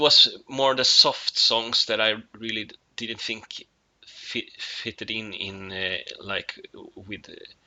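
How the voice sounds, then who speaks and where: A man speaks with a Swedish accent. His pace is very slow. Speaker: musician. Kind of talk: casual video monologue. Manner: halting, many fillers.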